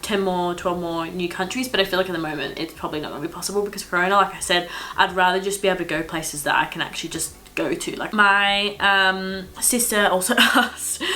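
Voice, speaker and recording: A woman speaks at a fairly quick pace and a medium pitch amid noticeable background noise. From Australia. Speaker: travel vlogger. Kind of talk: casual chat. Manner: chatty.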